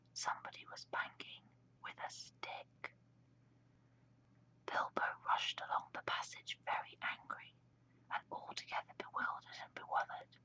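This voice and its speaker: A whispering woman with big swings in loudness and long, frequent pauses. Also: moderate pace. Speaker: ASMR whisper reader. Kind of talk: audiobook-style story reading. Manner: whispered.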